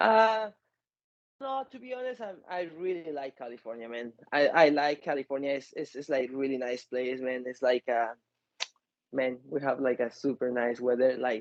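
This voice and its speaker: A man speaks with a Mexican accent at a moderate pace, his medium pitch showing ordinary variation. The sound is dry and close, with no echo. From Mexico City. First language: Spanish. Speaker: MMA fighter. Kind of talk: interview. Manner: halting.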